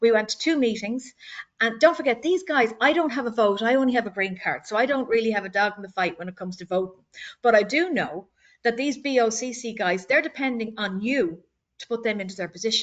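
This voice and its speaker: A woman with an Irish accent speaks at a very fast pace in a fairly high voice with lively intonation. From Ireland, Dublin. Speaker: board candidate. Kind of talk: candidate speech at community meeting. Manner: halting, repeats words.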